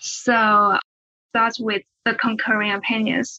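A woman with a Chinese accent has a bright, sharp tone, recorded with a dry, close sound and no echo. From China. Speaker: law student. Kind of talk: academic discussion.

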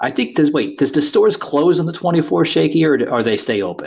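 With an American accent, a man talks at a fairly quick pace, his voice showing vocal fry and very wide pitch swings. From New Jersey / New York City area. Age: 40s. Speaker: podcast host. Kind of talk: casual chat.

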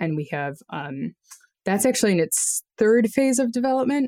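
A woman with an unremarkable speaking voice and an American accent talks at a moderate pace with lively intonation, in a dry, close sound with no echo. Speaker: geographer and nonprofit founder. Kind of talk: interview. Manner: casual, many fillers.

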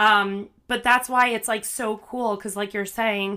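Her tone bright and sharp, a woman speaks at a medium pitch in a monotone, flat way at a moderate pace on a very clean recording with a silent background. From New Jersey. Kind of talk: casual interview chat.

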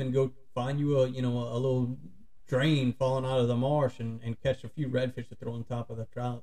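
A man speaks with a south Louisiana accent. His voice has a dark, mellow tone. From St. Bernard Parish, Louisiana. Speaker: outdoor YouTuber. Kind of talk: casual chat.

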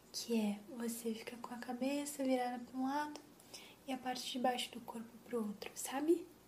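Noticeable background noise runs under a woman's calm, soothing voice. She speaks fairly slowly with fairly even intonation. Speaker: ASMR creator playing a chiropractor. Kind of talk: ASMR roleplay, soft guided chiropractic session with breathing cues; intimate close-mic whisper-style role-play with reassurance. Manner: soft-spoken, slow, calm and soothing; gentle, reassuring, explains each step and counts breaths.

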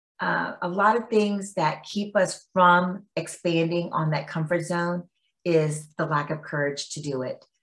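A woman with a fairly low pitch speaks at a fairly slow pace in a somewhat breathy voice. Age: 50s. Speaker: women's empowerment entrepreneur and author. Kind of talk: casual interview chat. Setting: remote call. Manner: animated.

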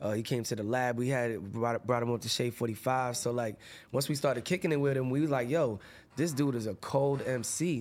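On a very clean recording with a silent background, a man with an unremarkable speaking voice talks at a fairly quick pace, medium pitch and ordinary pitch variation. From Massachusetts. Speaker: rapper. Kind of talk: casual interview. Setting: studio.

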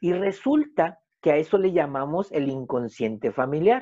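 A man speaks at a fairly slow pace with a fairly high pitch and ordinary pitch variation. His tone is dark and mellow against a quiet background. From Mexico. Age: 50s. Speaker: family constellation therapist. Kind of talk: casual interview.

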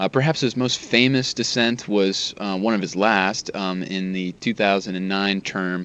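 At a fairly slow pace, a man with an unremarkable speaking voice talks in a fairly low pitch with ordinary pitch variation. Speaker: Supreme Court reporter. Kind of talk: interview about a Supreme Court justice's legacy.

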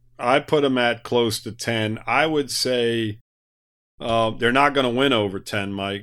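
A man of medium pitch talks in a normal speaking voice with fairly even intonation. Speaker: sports podcaster. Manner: talks at length.

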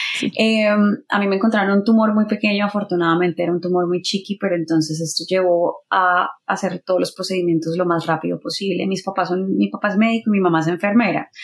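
The speech runs at a very fast pace with hardly any pauses. Its intonation stays fairly even. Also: woman, medium pitch for a woman. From Colombia, Bucaramanga. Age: 30s. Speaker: singer-songwriter and radio announcer. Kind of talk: casual interview chat.

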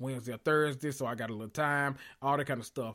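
A man with a medium-pitched voice speaks at a very fast pace in an animated tone, on a very clean recording with a silent background. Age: 30s. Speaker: podcast host. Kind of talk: casual monologue, story time.

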